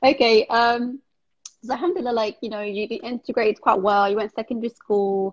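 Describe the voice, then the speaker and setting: Speaking at a fairly quick pace in a plain, everyday voice, a woman with fairly high pitch and ordinary pitch variation is recorded dry and close with no echo. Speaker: podcast host. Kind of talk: casual interview, live stream. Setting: video call, live stream.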